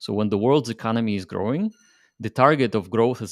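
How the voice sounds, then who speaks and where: On a very clean recording with a silent background, a man with a fairly low pitch speaks at a very fast pace with ordinary pitch variation. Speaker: crypto project founder. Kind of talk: interview.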